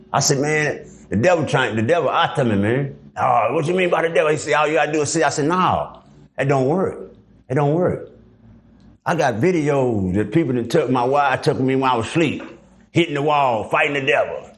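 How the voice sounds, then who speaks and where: With an American accent and a fairly high pitch, a man speaks fairly quickly at very even loudness with ordinary pitch variation, and room echo is audible. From Dallas, Texas. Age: 60s. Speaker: former prisoner. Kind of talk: interview. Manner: casual.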